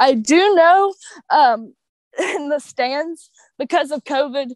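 In a Kentucky accent, a woman talks at a very slow pace and a high pitch with lively intonation, the sound dry and close with no echo. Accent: Kentucky Southern US. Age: young. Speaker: professional wrestler. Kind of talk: casual chat.

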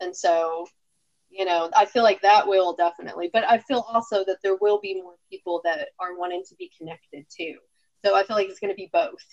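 A woman with an ordinary speaking voice talks at a fairly quick pace and a medium pitch, with fairly even intonation. Her loudness swings a lot, and the sound is dry and close with no echo. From Texas. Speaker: podcast co-host. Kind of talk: casual chat.

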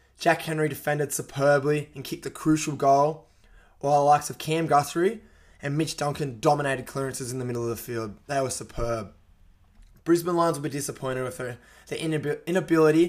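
A man with an Australian accent talks at a fairly quick pace in a fairly high pitch. His loudness swings widely. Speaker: sports podcast host. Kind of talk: casual sports talk. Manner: animated.

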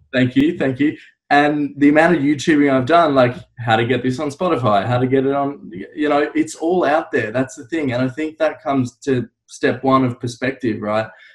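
Talking at a moderate pace, a man with an Australian accent has a fairly high pitch. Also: ordinary pitch variation. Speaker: podcast host. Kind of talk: interview.

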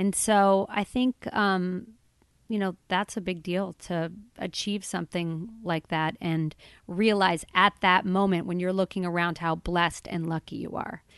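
With a quiet background and a dry, close sound with no echo, a woman of medium pitch speaks at a fairly slow pace with fairly even intonation. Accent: American. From Boulder, Colorado, US. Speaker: film producer. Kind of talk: interview. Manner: casual, hesitant with fillers.

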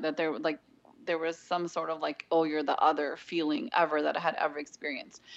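A woman speaks with a Californian accent in a fairly low pitch. The background is quiet. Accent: Californian American. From Southern California. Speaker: seminary graduate, graphic designer and mother. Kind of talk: interview conversation.

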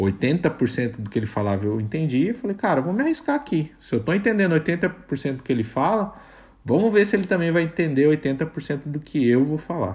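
A somewhat breathy man with a fairly high pitch, very wide pitch swings and a moderate pace. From Brazil. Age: 20s. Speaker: product manager. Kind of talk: casual interview chat.

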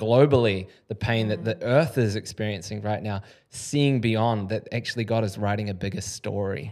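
A man speaks with a New Zealand accent at a fairly low pitch. The recording is very clean, with a silent background. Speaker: podcast host. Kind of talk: casual interview conversation. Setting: studio.

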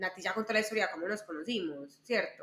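A woman with an Antioquian accent speaks in a bright, sharp tone. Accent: Colombian paisa Spanish. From Colombia, Medellín. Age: 20s. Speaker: lawyer and entrepreneur, podcast co-host. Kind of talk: casual interview chat among friends.

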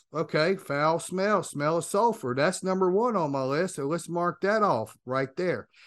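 Speaking with a Cajun accent, a man uses a high pitch, an animated tone and lively intonation at a moderate pace against a quiet background. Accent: Cajun Louisiana English. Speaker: podcast host and demonologist. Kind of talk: casual chat.

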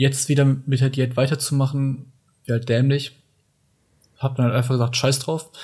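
A man at medium pitch and a fairly quick pace, somewhat breathy, with a dark, mellow tone and monotone, flat intonation. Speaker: podcast co-host. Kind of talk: casual chat.

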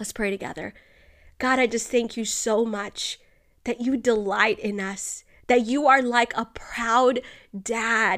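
With fairly even intonation, a woman speaks in an unremarkable speaking voice at a fairly high pitch. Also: fairly slow pace. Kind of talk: devotional reading and fervent prayer. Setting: home, snowy morning with coffee. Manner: earnest, warm, fervent.

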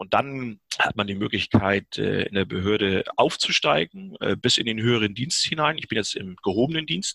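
With a bright, sharp tone and medium pitch, a man speaks at a moderate pace in a dry, close sound with no echo. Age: 50s. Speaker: firefighter. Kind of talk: interview. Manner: hesitant, many fillers.

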